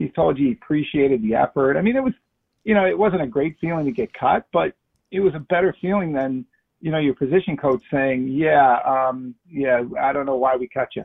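An ordinary speaking voice with an American accent moves at a fairly quick pace, its intonation lively. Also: man, fairly high pitch for a man. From Chicago. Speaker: former football player. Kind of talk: casual chat.

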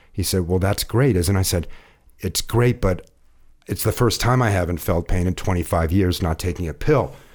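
A man with a very deep, low pitch and an American accent, on a very clean recording with a silent background. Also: ordinary pitch variation, moderate pace. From US Midwest (Ohio). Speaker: cannabis editor and speaker, former lawyer. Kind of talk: interview.

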